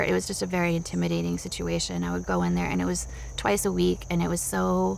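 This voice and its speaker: A woman talks at a very fast pace with very even loudness. Audible room echo is present. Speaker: psychotherapy interviewee. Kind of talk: clinical interview. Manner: halting.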